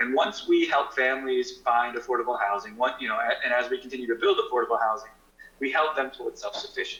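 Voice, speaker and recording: A man rattles off his words at a very fast pace while noticeable background noise carries on. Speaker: nonprofit representative. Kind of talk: presentation to town council. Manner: halting.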